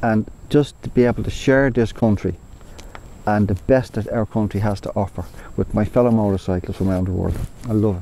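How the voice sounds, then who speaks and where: Pitched fairly low, a man with an Irish accent talks at a fairly quick pace but leaves long, frequent pauses. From Ireland. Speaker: motorcycle tour company owner. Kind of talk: casual interview. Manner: animated.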